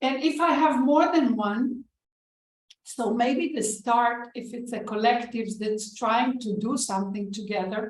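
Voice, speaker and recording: A woman with a non-native accent speaks at a fairly slow pace, her pitch high with ordinary variation. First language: not English. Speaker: author and organization development practitioner. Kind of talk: online panel discussion.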